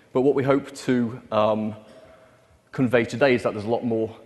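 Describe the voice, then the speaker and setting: The speaker is a man with a British accent. He talks at a fairly quick pace with fairly even intonation. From UK. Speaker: developer relations presenter. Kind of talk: conference technical presentation. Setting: stage with audience.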